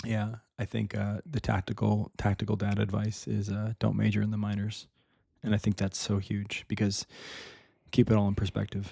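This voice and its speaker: In a very clean recording with a silent background, a man talks in a dark, mellow, somewhat breathy tone with monotone, flat intonation and a dry, close sound with no echo. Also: fairly low pitch for a man. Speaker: father, podcast guest. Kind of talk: casual podcast chat. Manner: fast.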